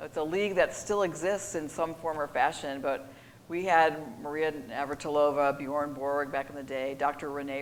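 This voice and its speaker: A woman talks at a moderate pace with an American accent and a very deep, low pitch that varies in an ordinary way. Room echo is audible. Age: 60s. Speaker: sports executive. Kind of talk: interview. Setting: stage with audience.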